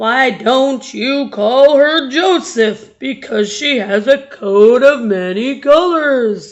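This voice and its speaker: In a put-on character voice, the speaker goes at a very slow pace with lively intonation and hardly any pauses. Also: woman, high pitch for a woman. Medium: read story. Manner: slow, folksy.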